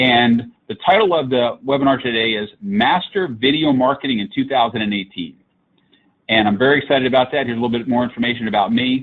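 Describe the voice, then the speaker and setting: A man talks at a very fast pace in a medium pitch. His pitch varies in an ordinary way. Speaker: digital marketing consultant. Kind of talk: webinar presentation. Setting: live online webinar.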